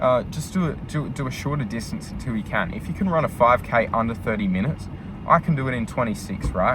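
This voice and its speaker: Noticeable background noise sits behind a man with an Australian accent. He talks at a fairly quick pace with lively intonation. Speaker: vlogger, truck driver. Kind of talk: casual vlog monologue. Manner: fast; filler-heavy.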